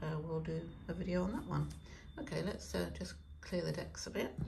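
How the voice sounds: A low-pitched woman speaks with a slightly mellow tone, vocal fry and little pitch movement. Audible room echo surrounds her voice.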